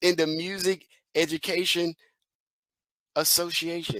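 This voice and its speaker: Animated and high-pitched, a man with a Southern US accent is heard in a dry, close sound with no echo on a very clean recording with a silent background. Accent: Southern country. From Mississippi, US South. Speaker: educational consultant and motivational speaker. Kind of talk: keynote speech. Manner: animated, repetitive emphasis.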